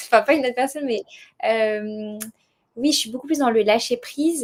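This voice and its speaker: A woman's high voice shows ordinary variation in pitch. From southern France. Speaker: world traveller, association founder. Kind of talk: podcast interview. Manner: hesitant, many fillers.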